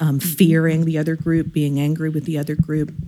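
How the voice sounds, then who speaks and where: A woman's very deep, low voice comes in a dark, mellow tone with monotone, flat intonation. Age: 50s. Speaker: member of an Enneagram association's regional chapter. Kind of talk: casual chat. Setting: call with the hosts.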